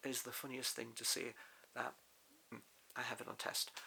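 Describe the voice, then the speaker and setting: A man talks with a British accent. There is noticeable background noise. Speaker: crossdressing vlogger. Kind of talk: casual vlog talk. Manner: loud; trying to sound feminine. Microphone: far from the mic.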